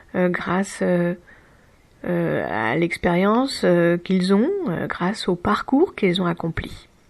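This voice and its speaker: Here a woman speaks at a very slow pace. Her voice sits fairly low, with ordinary pitch variation. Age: 40s. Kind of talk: personal reflection talk. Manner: hesitant, halting.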